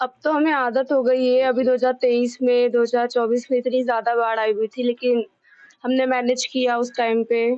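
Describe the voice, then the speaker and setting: The delivery is monotone and flat, with very even loudness throughout. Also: woman, high pitch for a woman. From Delhi. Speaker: local resident. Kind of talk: street interview.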